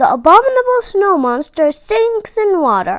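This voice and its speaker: Putting on a character voice, a woman speaks in an extremely high pitch with very wide pitch swings. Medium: read story.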